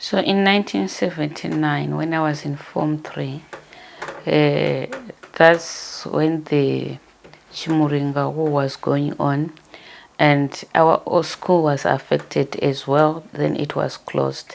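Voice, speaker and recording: A woman speaks with a Zimbabwean accent at a very slow pace. Noticeable background noise runs behind her. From Zimbabwe, Masvingo, Gutu rural area. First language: Shona. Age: 60s. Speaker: interviewee telling her life story. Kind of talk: life story interview. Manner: hesitant, with fillers.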